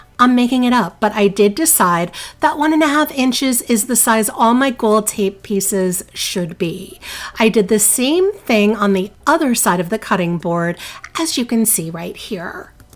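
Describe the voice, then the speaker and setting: With a New Jersey accent, a woman of fairly high pitch speaks at a moderate pace. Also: lively intonation. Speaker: DIY crafting youtuber. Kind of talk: tutorial voiceover. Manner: casual, chatty.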